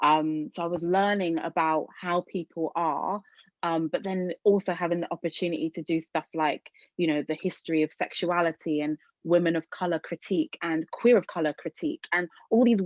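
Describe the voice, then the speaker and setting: With a British accent, the speaker talks at a moderate pace with fairly even intonation, in a dry, close sound with no echo against a quiet background. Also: woman, fairly low pitch for a woman. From England. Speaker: arts organisation leader. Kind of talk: webinar talk. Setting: video call. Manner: hesitant, many fillers.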